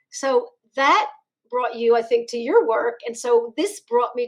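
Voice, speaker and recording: With a Philadelphia accent, a woman talks at a moderate pace. Her fairly high pitch shows ordinary variation. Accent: Philadelphia American. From US Northeast, Philadelphia. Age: 60s. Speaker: chiropractor. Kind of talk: interview.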